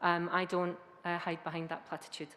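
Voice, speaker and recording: In a Scottish accent, a woman talks at a moderate pace. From Scotland. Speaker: academic researcher. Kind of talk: conference talk. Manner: hesitant fillers.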